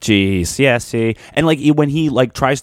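A man speaks with a Philadelphia accent. The sound is dry and close, with no echo. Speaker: podcast co-host. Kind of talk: casual chat.

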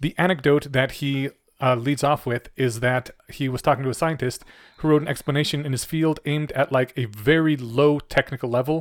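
Fairly high in pitch, a man talks at a fairly quick pace with fairly even intonation in a dry, close sound with no echo. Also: very clean recording, silent background. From Poland. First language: Polish. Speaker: podcast co-host. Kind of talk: casual chat.

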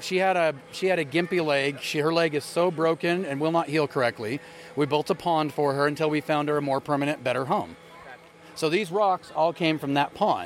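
This is a plain, everyday voice whose pitch varies in an ordinary way. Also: man, fairly high pitch for a man, fairly quick pace. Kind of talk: casual chat. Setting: outdoors at a charity event.

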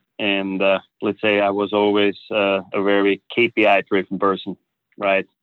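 A man speaks in a German accent. His pitch sits fairly low, and his pace is moderate. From Austria. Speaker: business executive. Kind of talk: interview conversation. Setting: studio. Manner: halting.

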